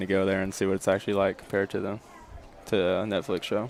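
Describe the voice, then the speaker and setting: A man with a Southern US accent speaks at a very fast pace and fairly low pitch, in a monotone, flat intonation. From Tennessee, Spring Hill. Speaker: college baseball pitcher. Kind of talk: live interview during game. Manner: hesitant, with filler words.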